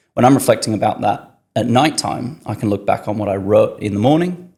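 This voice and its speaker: This man's voice is dark, mellow and somewhat breathy, set at a medium pitch with ordinary pitch variation. He talks at a fairly quick pace on a very clean recording with a silent background. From northern England, Yorkshire. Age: 20s. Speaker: podcast guest, marketing worker. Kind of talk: casual interview chat.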